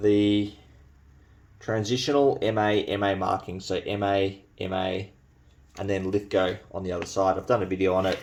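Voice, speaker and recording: An Australian accent at a fairly slow pace, with long, frequent pauses. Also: man. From New Zealand. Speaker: bayonet collector and video creator. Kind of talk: show-and-tell video. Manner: casual, with hesitations.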